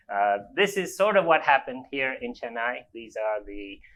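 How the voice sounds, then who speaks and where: A man talks at a moderate pace in a medium pitch. His intonation is lively. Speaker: invited speaker on climate and energy. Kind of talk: public lecture. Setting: lecture hall with audience. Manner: animated.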